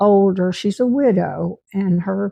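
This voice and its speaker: In a Southern US accent, a woman with a medium pitch and a dark, mellow tone is heard dry and close with no echo. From Tennessee. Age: 90s. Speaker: retired teacher. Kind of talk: life story narration.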